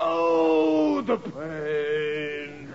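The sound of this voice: Over faint background noise, a man in a put-on character voice talks at a very slow pace, fairly high in pitch, with big pitch swings and vocal fry.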